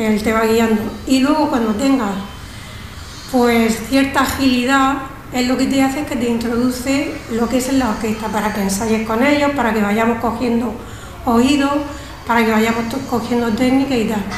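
A woman's high-pitched voice with fairly even intonation, very even loudness, a moderate pace and long, frequent pauses, plus noticeable background noise and audible room echo. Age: 60s. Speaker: music student. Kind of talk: radio interview.

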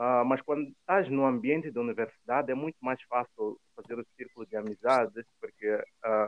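At a medium pitch and moderate pace, a man speaks with ordinary pitch variation. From Mozambique. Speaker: former swimmer living abroad. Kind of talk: interview conversation. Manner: hesitant, repeats words.

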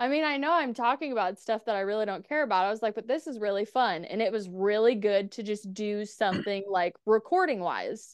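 A woman with an unremarkable speaking voice talks at a fairly quick pace, fairly high in pitch with lively intonation, over a quiet background. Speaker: podcaster and writer. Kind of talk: casual interview chat.

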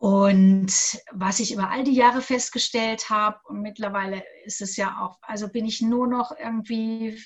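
Speaking at a fairly slow pace, a woman with a fairly high pitch shows ordinary pitch variation. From Bavaria, Augsburg. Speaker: coach and former radio presenter. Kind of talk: interview.

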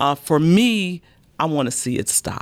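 A woman with an American accent, very deep and low in pitch, her intonation lively. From Chicago. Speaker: mayor hosting a podcast. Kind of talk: interview.

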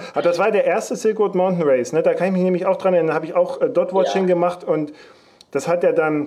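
A high-pitched man talks at a very fast pace with ordinary pitch variation. Noticeable background noise runs behind him. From Leipzig, eastern Germany. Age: 40s. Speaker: podcast host. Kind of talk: casual chat.

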